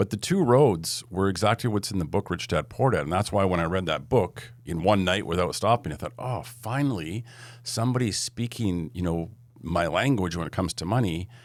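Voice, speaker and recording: On a very clean recording with a silent background, a man with a Canadian accent uses an ordinary speaking voice, fairly low in pitch with ordinary variation, at a fairly quick pace. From western Canada (Edmonton, Alberta). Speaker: entrepreneur and investor. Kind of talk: podcast interview.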